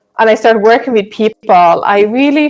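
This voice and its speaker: A woman talks in a Swedish accent. Her pitch is medium, with ordinary variation. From Sweden. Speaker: nutrition counsellor. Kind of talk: live stream Q&A chat. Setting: live video stream.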